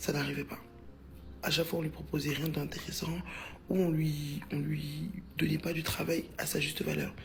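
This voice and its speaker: Noticeable background noise sits under a moderate pace broken by long, frequent pauses. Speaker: social media storyteller. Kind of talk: casual storytime. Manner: animated, conversational.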